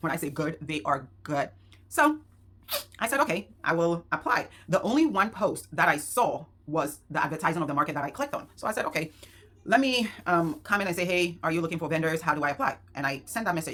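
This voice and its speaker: A woman talks with a fairly low pitch and lively intonation. Her pace is fairly quick. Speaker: small business owner and vlogger. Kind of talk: casual vlog talk. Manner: fast.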